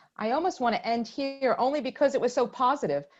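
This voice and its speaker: Speaking at a moderate pace, a woman with an American accent has a high-pitched voice. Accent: Brooklyn accent, usually hidden. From Brooklyn, New York (East Flatbush). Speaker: webinar moderator. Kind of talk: webinar discussion.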